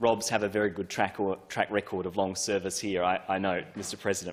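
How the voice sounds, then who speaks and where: The pace here is moderate. The speaker is a man with an Australian accent. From Australia, Adelaide southern suburbs. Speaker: politician. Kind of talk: parliamentary first speech. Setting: parliament chamber. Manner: formal.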